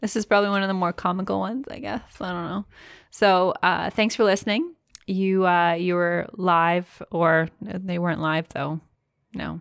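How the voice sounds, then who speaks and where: A woman with a normal speaking voice, medium pitch, fairly even intonation and a moderate pace, in a dry, close sound with no echo and a very clean recording against a silent background. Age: 30s. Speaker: podcast co-host, business owner. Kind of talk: casual chat.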